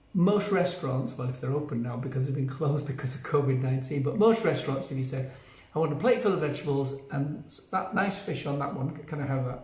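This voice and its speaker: Talking at a very fast pace, a man with a British accent and a fairly high pitch shows ordinary pitch variation, with audible room echo and noticeable background noise. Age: 70s. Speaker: health coach. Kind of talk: live stream talk to viewers. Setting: on vacation, not in usual place.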